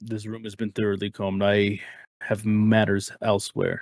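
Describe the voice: A man puts on a gruff character voice, fairly low in pitch. He speaks at a moderate pace with monotone, flat intonation.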